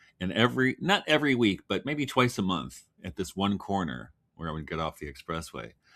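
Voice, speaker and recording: A man speaks at a fairly quick pace in a very deep, low voice with vocal fry. His tone is bright and sharp, and his pitch swings very widely. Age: 60s. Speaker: writer and farmer. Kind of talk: casual chat.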